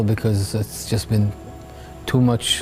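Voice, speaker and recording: Music plays in the background as a man with a medium pitch speaks at a fairly slow pace. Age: 70s. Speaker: war veteran, kibbutz attack survivor. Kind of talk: interview answer.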